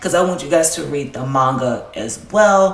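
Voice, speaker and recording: The speaker has a Southern US accent, and noticeable background noise runs underneath. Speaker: anime YouTuber. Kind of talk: casual video commentary. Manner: casual, filler-heavy.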